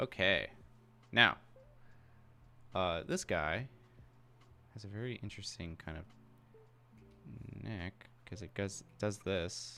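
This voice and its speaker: Mumbling very slowly with ordinary pitch variation, the speaker swings widely in loudness and leaves long, frequent pauses while music plays in the background. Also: man, fairly low pitch for a man. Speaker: character concept artist streaming live drawing. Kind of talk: live drawing tutorial stream. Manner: mumbling while thinking; casual, hesitant with fillers.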